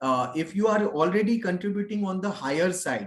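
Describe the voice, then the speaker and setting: A man with an Indian accent and lively intonation. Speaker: HR consultant, pension expert. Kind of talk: webinar Q&A. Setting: online webinar. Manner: halting, many fillers.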